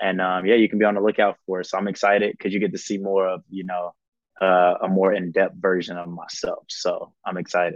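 A man with a Southern US accent speaks at a fairly quick pace. His fairly low voice stays flat and monotone. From South Carolina, Columbia. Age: 20s. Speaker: baseball player and reality TV contestant. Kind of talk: casual interview.

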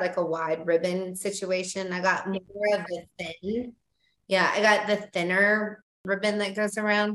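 A woman speaks at a medium pitch in an ordinary speaking voice. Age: 40s. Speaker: parenting website owner. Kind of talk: casual chat. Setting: video call.

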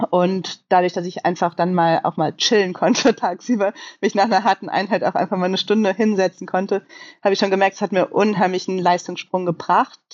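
Using an ordinary speaking voice, a woman talks at a fairly quick pace. Her medium pitch keeps fairly even intonation. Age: 30s. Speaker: professional triathlete and coach. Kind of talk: casual interview conversation.

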